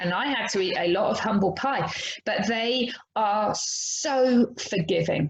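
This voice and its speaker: A woman with an English accent talks at a fairly slow pace, her fairly high voice carrying lively intonation. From England. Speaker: horse trainer. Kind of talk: podcast interview.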